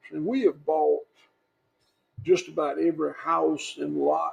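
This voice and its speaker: A man with a Southern US accent. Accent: Southern US (Georgia). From US South. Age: 60s. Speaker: farmer. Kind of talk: interview. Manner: halting.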